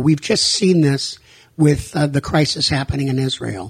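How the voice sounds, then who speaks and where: A man with an American accent speaks at a moderate pace. His voice is fairly high-pitched and somewhat breathy. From US Northeast. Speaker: rabbi and nonprofit director. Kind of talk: radio interview. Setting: radio studio.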